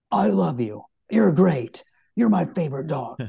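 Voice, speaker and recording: At a moderate pace, a man performs a put-on character voice at a medium pitch. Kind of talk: colloquial. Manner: praise delivered in a harsh tone.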